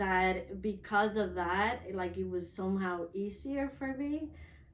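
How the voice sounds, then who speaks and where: A woman speaks very slowly with ordinary pitch variation, and audible room echo surrounds her voice. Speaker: transformational coach. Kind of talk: interview testimony.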